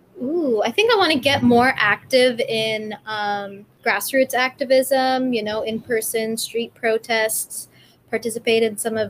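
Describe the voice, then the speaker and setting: In an unremarkable speaking voice, a woman talks at a fairly slow pace. Her pitch is fairly high and her intonation fairly even. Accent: American. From California. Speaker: vegan animal rights activist. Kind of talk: interview.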